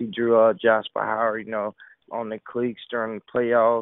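Here a man speaks at a moderate pace and a medium pitch. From US South, Delray Beach, Florida. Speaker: college football player, NFL draft prospect. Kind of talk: interview.

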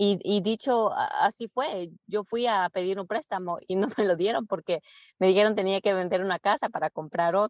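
A woman with an ordinary speaking voice talks at a moderate pace, her pitch medium and its variation ordinary. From Peru, Lima; moved to Virginia at 12. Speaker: real estate investor. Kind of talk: interview.

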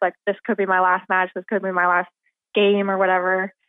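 Her medium-pitched voice moves at a fairly quick pace. This woman's intonation is monotone and flat. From Pittsburgh. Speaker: former college tennis player. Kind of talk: radio interview.

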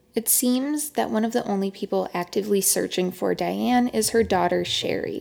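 With hardly any pauses, a woman talks at a moderate pace and a very even loudness. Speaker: podcast host. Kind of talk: scripted narration.

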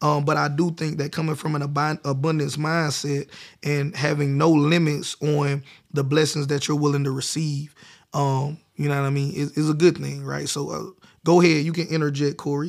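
A man with an American accent talks at a moderate pace in a fairly high pitch. His intonation is monotone and flat, and the recording is very clean with a silent background. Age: 30s. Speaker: podcast host, entrepreneur. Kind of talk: casual chat; tutorial.

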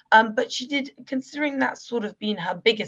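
Talking at a fairly quick pace, the woman has a British accent. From UK. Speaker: political commentator. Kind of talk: interview.

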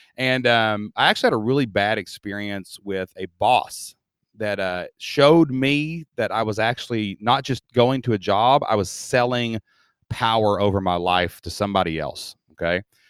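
In a Southern Appalachian accent, a man talks at a moderate pace and a medium pitch with ordinary variation. The sound is dry and close, with no echo. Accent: Southern Appalachian US, noticeable. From Southeast Kentucky. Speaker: membership business teacher. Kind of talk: interview. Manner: upbeat.

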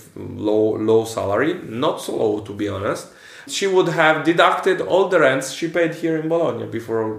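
With an Italian accent, a man speaks at a moderate pace in a fairly high pitch, his intonation lively over noticeable background noise. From central Italy, near Rome. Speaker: financial analyst and coach. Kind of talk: casual interview in second language.

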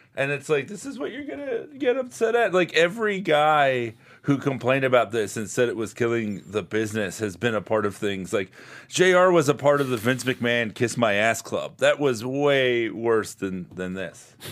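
An unremarkable speaking voice in an American accent, moderate in pace and lively in intonation, on a very clean recording with a silent background. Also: man, medium pitch for a man. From South Florida. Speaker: comedian. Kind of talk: casual chat. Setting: studio.

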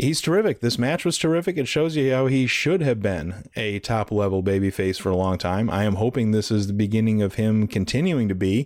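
An ordinary speaking voice from a man, fairly low-pitched and lively in intonation, at a fairly quick pace with hardly any pauses. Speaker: wrestling podcast guest host. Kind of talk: casual chat.

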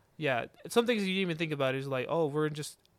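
An unremarkable speaking voice from a fairly high-pitched man, with ordinary pitch variation and a fairly quick pace, on a very clean recording with a silent background. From Georgia, US (Mexican-American family). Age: 20s. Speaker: podcast host. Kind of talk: casual chat.

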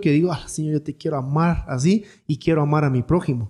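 A man's fairly high voice, dark and mellow in tone, with ordinary pitch variation. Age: 30s. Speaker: podcast host. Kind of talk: Bible teaching conversation.

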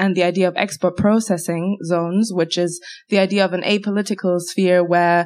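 Flat, monotone intonation from a woman at medium pitch and a moderate pace. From Haitian German. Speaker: PhD researcher. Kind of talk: live interview. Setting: stage with audience.

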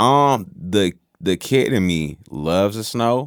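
An ordinary speaking voice with an American accent carries lively intonation. The recording is very clean, with a silent background. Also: man. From Virginia, Newport News. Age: 30s. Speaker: musician. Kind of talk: casual interview chat.

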